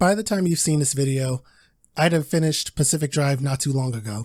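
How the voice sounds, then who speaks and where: Using a put-on, robotic character voice, a man talks at a fairly quick pace and a fairly high pitch in a very clean recording with a silent background. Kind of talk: scripted video narration. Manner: stiff, robotic, flat delivery.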